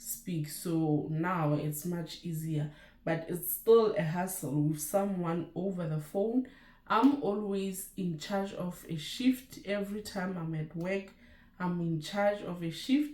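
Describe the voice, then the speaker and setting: A woman with a Lesotho accent speaks very slowly, her pitch fairly low. Her pitch varies in an ordinary way. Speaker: nurse and YouTuber. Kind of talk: casual vlog chat.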